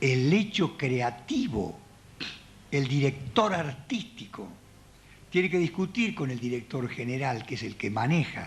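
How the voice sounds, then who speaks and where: Here a man is somewhat breathy and talks at a fairly slow pace. His pitch swings very widely. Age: 70s. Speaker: theatre director and puppeteer giving a talk. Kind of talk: public talk.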